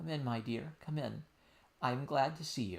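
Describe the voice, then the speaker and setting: Putting on a character voice, a man talks at a moderate pace in a shaky voice of medium pitch. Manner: sweet, welcoming.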